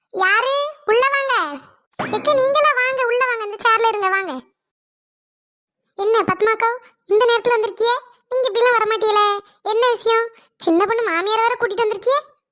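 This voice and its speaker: At a moderate pace, a woman puts on a character voice with an extremely high pitch and fairly even intonation. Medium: comedy sketch. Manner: chatty, blunt.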